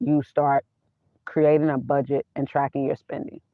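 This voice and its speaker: A woman's very deep, low voice, monotone and flat in intonation. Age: 50s. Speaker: vanlife YouTuber, personal finance talker. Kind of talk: live stream monologue. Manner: casual, conversational with fillers.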